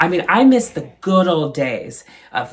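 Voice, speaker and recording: A woman with an American accent speaks at a fairly low pitch with very wide pitch swings and an animated tone. Noticeable background noise is present. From Ohio, USA. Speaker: stand-up comedian. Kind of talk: stand-up comedy routine. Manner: sassy, animated, comedic.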